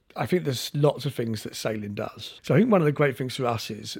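A man at a medium pitch with a London accent, somewhat breathy delivery, lively intonation and a fairly quick pace, on a very clean recording with a silent background. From South London. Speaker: sailing charity chief executive. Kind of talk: casual chat.

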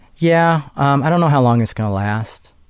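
A man with an ordinary speaking voice, fairly quick pace and lively intonation in a very clean recording with a silent background. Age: 30s. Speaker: minister and theologian. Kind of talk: personal interview, life story.

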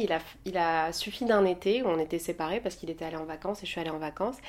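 A woman with an unremarkable speaking voice talks at a fairly quick pace with ordinary pitch variation, recorded very cleanly against a silent background. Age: 30s. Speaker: podcast guest, Instagram personality. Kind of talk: casual chat.

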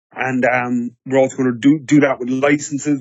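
In an Irish accent, a man talks at medium pitch and a moderate pace, his intonation flat and monotone. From Ireland. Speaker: business development director at a tech startup. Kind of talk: podcast interview.

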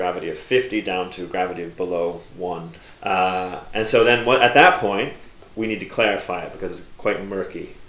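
A man with an American accent speaks at a moderate pace, his loudness swinging widely, with audible room echo and noticeable background noise. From United States. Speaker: cider maker. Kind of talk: casual interview. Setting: under railway arches, trains passing.

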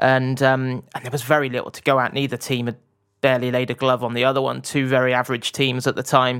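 A man at a medium pitch with a slight West Country accent, monotone, flat intonation and a very fast pace. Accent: southwest English (West Country), slight. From Bath, southwest England. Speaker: football journalist. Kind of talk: casual interview chat. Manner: hesitant, many fillers and restarts.

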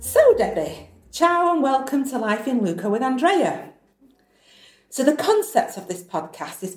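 The speaker has a northern English accent and talks at a moderate pace. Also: woman. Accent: northern English, flat vowels. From northern England. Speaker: podcast host. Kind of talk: casual interview chat.

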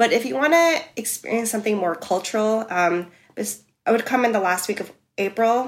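In a New York accent, a woman speaks with a fairly high pitch, ordinary pitch variation, and a moderate pace. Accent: New York American. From US, New York City. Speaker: expat living in Amsterdam. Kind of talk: casual interview.

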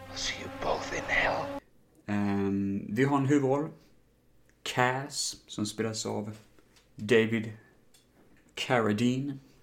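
The pace is very slow, with long, frequent pauses. Pitch variation is ordinary. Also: man, medium pitch for a man. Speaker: film podcast host. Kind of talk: casual solo podcast film reviews. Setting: home recording, standing. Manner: animated, gesticulating while standing.

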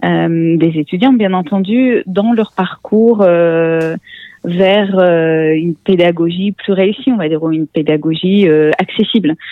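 A woman speaks at a very slow pace in a fairly low voice, with ordinary pitch variation. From Russia (born in Armenia). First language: Russian (speaking French). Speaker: tech education executive and author. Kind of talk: interview. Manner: halting, many hesitations.

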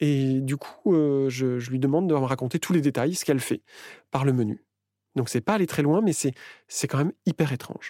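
A man speaks in an ordinary speaking voice at a moderate pace, fairly high in pitch with ordinary pitch variation. The recording is very clean with a silent background, dry and close with no echo. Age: 40s. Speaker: interviewee sharing personal story. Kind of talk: personal testimony.

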